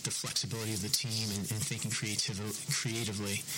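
The speech runs at a very fast pace. Audible room echo and noticeable background noise fill the recording. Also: man. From New England. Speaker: basketball team executive. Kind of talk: press conference. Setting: media day press conference. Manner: halting, many fillers. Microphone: poor recording audio.

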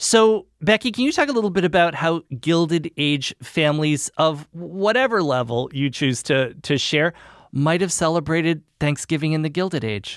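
Speaking with an ordinary speaking voice at a moderate pace, the voice carries lively intonation and hardly any pauses. The recording is very clean with a silent background and a dry, close sound with no echo. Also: man, fairly high pitch for a man. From New England, US. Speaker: podcast host. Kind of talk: interview; scripted narration.

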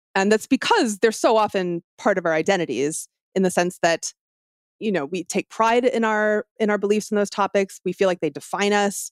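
A woman with a normal speaking voice talks at a moderate pace, her pitch rising and falling in an ordinary way. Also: medium pitch for a woman. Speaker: author and podcast host. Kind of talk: interview conversation.

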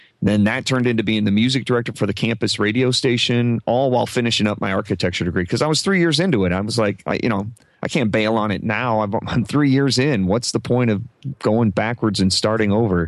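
Talking at a very fast pace, a man with a Midwestern US accent keeps a medium pitch, ordinary pitch variation and very even loudness. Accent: US Midwest. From Omaha, Nebraska. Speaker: podcast coach and former radio broadcaster. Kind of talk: casual interview chat. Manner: halting, frequent repetitions.

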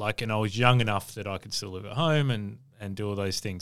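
Speaking with an Australian accent, a man uses a fairly low pitch at a fairly quick pace. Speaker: podcast host and hospitality consultant. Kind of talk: interview.

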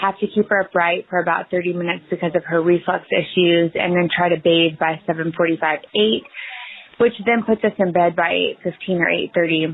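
A woman talks at a fairly quick pace, her loudness very even and her intonation fairly even. Noticeable background noise sits behind her. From East Texas. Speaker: parent asking a question. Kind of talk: recorded listener question.

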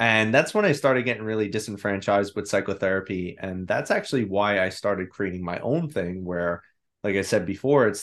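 In a normal speaking voice with an American accent, the speaker talks at a fairly quick pace against a quiet background. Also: man. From New York. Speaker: psychotherapist and mindset coach. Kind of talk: interview.

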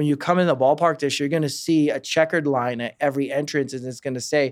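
A fairly high-pitched man at a very fast pace with fairly even intonation. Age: 30s. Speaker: baseball team fan experience director. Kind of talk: casual interview. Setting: studio.

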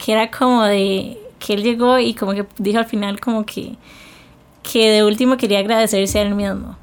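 A woman speaks at a fairly slow pace with an unremarkable speaking voice. Her pitch is fairly high and her intonation fairly even. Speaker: podcast co-host. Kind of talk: casual chat.

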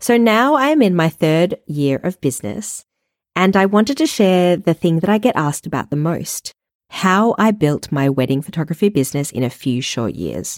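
A woman's fairly low voice in an Australian accent, at a moderate pace with very wide pitch swings, on a very clean recording with a silent background and a dry, close sound with no echo. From Australia, Melbourne. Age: 30s. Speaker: wedding photographer and podcast host. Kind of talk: solo podcast monologue.

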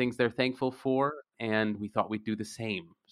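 A man's normal speaking voice, fairly low-pitched, at a moderate pace with fairly even intonation, on a very clean recording with a silent background. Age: 30s. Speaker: podcast host, magazine editor. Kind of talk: casual chat.

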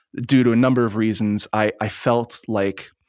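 A man with an American accent, fairly low in pitch and monotone, flat in intonation, in a dry, close sound with no echo and a very clean recording with a silent background. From US Northeast, Long Island, New York. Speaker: spiritual teacher and channeler. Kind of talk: interview conversation.

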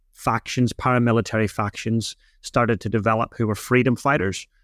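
A man with a Northern Irish accent speaks at a medium pitch and a fairly quick pace in a monotone, flat intonation. The sound is dry and close with no echo. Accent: Northern Irish, noticeable. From Northern Ireland. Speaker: drumming instructor and business speaker. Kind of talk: casual interview. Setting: remote call from New Zealand.

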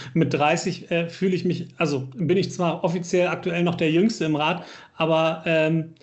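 This man's voice sits high in pitch, and audible room echo rings around it. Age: 30s. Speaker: local politician, podcast co-host. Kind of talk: casual chat.

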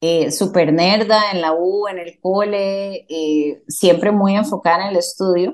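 In a Costa Rican accent, a woman speaks at a very slow pace with hardly any pauses, using a medium pitch and ordinary pitch variation. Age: 40s. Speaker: dentist. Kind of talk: interview.

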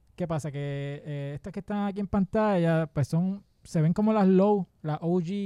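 A high-pitched male voice with a dark, mellow tone, ordinary pitch variation and a fairly slow pace, dry and close with no echo on a very clean recording with a silent background. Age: 40s. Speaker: podcast host. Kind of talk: casual chat.

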